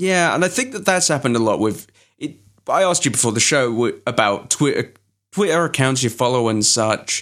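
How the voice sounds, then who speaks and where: A man with an English accent, a fairly high pitch, lively intonation and a fairly quick pace, on a very clean recording with a silent background. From England. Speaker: podcast host. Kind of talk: casual chat.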